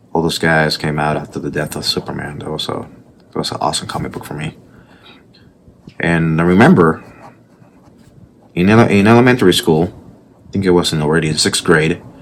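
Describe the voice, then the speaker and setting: With a strong Puerto Rican accent and a very deep, low pitch, a man talks at a fairly quick pace with ordinary pitch variation and long, frequent pauses over noticeable background noise. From Puerto Rico. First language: Spanish. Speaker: artist. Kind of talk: casual vlog commentary while drawing. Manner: passionate.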